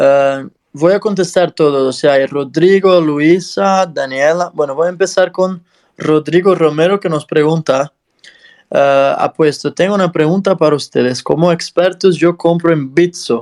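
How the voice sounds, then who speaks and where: A man with a non-native accent speaks fairly slowly in a high voice, with ordinary pitch variation and very even loudness. The sound is dry and close, with no echo. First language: not Spanish (speaking Spanish). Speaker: podcast host. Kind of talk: interview. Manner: halting.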